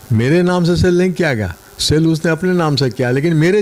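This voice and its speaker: Lively intonation from a man, with noticeable noise in the background. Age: 70s. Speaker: retired land owner, complainant. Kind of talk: news interview.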